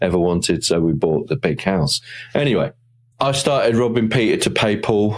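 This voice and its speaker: With a British accent, a man talks at a moderate pace. His pitch shows ordinary variation. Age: 60s. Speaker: motivational speaker and podcaster. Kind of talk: interview. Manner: conversational.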